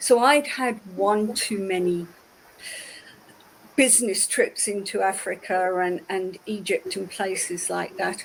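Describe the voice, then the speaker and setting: Taking a fairly slow pace, a woman speaks in a British accent. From United Kingdom. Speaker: ceramicist, former IT executive. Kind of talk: interview.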